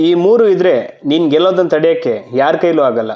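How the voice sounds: A man's fairly high voice at a moderate pace, with lively intonation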